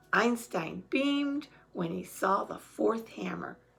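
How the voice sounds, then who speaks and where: Putting on a character voice, a woman speaks at a fairly slow pace, medium in pitch, with a warm, raspy tone. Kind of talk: bedtime story. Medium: read story. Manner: warm, chatty.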